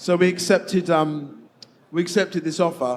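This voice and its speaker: A man with an English accent speaks at a high pitch. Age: 50s. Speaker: game developer. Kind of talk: stage interview.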